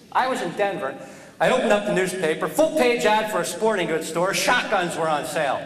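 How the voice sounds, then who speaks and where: With an American accent and lively intonation, a man speaks in a high voice amid noticeable background noise and audible room echo. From US Northeast, New Jersey. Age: 40s. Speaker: comedian. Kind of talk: stand-up.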